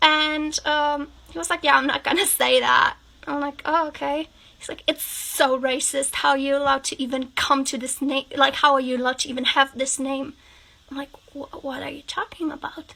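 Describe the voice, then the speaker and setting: A raised, projected voice in a German accent, with fairly even intonation, a moderate pace, big swings in loudness and noticeable background noise. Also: woman, high pitch for a woman. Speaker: TikTok creator. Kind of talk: storytime monologue.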